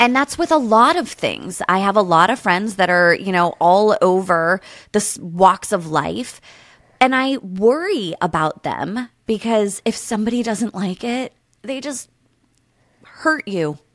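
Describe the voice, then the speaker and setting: A woman with an American accent speaks in a plain, everyday voice at medium pitch and a fairly slow pace. Her intonation is lively, and the recording is very clean with a silent background. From Pennsylvania, US. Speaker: podcast guest. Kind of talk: casual chat.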